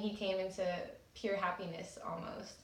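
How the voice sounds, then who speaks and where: A woman with an American accent talks at a fairly quick pace in a medium pitch, with fairly even intonation. Noticeable background noise and audible room echo are present. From California (Salinas). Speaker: abuse survivor sharing story. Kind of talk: personal testimony.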